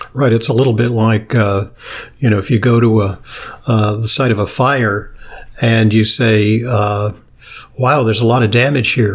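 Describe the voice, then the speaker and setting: A man speaks in a somewhat breathy voice with long, frequent pauses. His intonation is fairly even and his loudness very even. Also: medium pitch for a man, moderate pace. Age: 60s. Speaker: podcast and radio host, physician. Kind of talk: interview. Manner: hesitant, many fillers.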